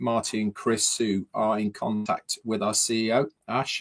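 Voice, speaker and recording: A man speaks at a fairly slow pace in a medium pitch. The recording is very clean with a silent background and sounds dry and close with no echo. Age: 60s. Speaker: vlogger. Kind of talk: casual monologue. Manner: hesitant, many fillers.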